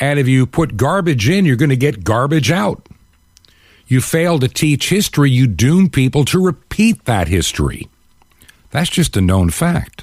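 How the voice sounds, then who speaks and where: A somewhat breathy man speaks at a moderate pace and fairly high pitch, with very wide pitch swings and very even loudness. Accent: American. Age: 60s. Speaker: talk show host. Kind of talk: talk radio monologue. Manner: animated.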